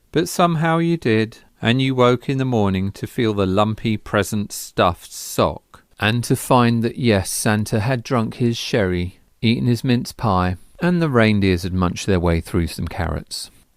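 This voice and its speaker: This man has a medium pitch and an English accent, with lively intonation. He speaks at a fairly slow pace on a very clean recording with a silent background. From England. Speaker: artist. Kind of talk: personal storytelling monologue.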